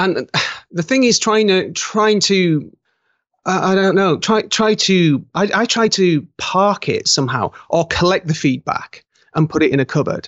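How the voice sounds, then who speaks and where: In a British accent, a high-pitched man speaks at a moderate pace with ordinary pitch variation. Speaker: author and graphic artist. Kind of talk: interview. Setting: video call. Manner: halting.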